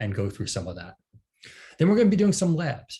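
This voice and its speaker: The voice has a dark, mellow tone with an American accent and is somewhat breathy. Its pitch swings very widely. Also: man. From United States. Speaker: training manager, instructor. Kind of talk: online training class. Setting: video call webinar. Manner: casual, many filler words.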